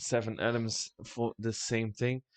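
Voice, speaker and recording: A man with a Dutch accent talks at a fairly slow pace, the sound dry and close with no echo. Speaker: esports caster. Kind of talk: live esports commentary wrap-up. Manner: halting, many fillers.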